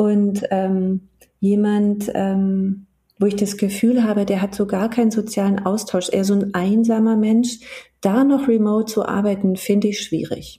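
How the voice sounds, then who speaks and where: With flat, monotone intonation, a woman talks fairly slowly in a medium pitch. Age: 40s. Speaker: HR business partner and coach. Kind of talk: casual interview. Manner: hesitant, many fillers.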